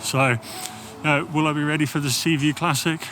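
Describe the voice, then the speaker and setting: Amid noticeable background noise, a man with an English accent talks at a moderate pace. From England. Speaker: cycling vlogger. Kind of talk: personal vlog monologue. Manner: hesitant, many fillers.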